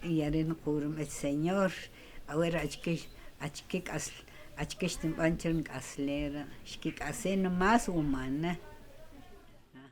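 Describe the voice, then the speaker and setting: Pausing long and often, a woman speaks fairly slowly at a very deep, low pitch with fairly even intonation. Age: 80s+. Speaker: elderly villager telling her life story. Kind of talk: documentary interview, life story.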